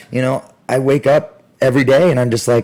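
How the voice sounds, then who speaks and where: Moderately paced, this man's mid-range voice rises and falls with ordinary pitch variation. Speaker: martial arts gym owner and instructor. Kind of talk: podcast interview. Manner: loud; animated.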